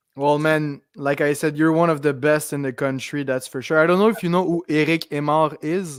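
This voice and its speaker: A man with a Quebec accent, fairly even intonation and hardly any pauses. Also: fairly high pitch for a man, moderate pace. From Quebec, South Shore of Montreal. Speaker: podcast host, fight commentator. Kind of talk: casual chat.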